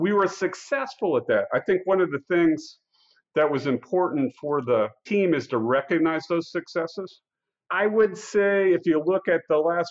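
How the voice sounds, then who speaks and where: A man in a Midwestern American accent at a fairly slow pace, with ordinary pitch variation. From US Midwest, Iowa. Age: 60s. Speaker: company CEO. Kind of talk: interview.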